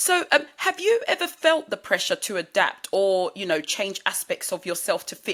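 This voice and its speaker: A moderate pace in a British accent. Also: woman. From UK. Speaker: podcast host. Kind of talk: interview.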